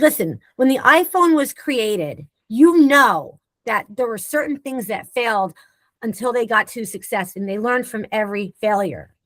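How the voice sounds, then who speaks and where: A woman talks at a moderate pace in a normal speaking voice, her pitch fairly high and her intonation lively. The sound is dry and close, with no echo. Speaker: leadership consultant and speaker. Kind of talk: webinar discussion.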